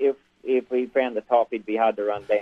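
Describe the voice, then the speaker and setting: There's an Australian accent in this man's speech. He talks at a moderate speed. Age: 60s. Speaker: harness racing trainer. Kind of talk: interview. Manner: halting.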